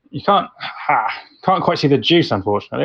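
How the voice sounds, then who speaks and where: A man with a British accent speaks at a fairly high pitch. His pitch swings very widely. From UK. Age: 30s. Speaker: home cook guest. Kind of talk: casual chat. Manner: halting, many fillers.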